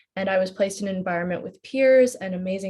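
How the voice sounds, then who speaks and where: With an American accent, a woman talks in a somewhat breathy voice with ordinary pitch variation. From United States. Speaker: postgraduate student. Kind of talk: personal testimony in a webinar.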